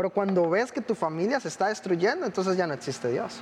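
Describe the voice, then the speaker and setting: Speech comes at a fairly quick pace. Its intonation is lively. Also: man. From Costa Rica. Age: 20s. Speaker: missionary and pastor. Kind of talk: testimony.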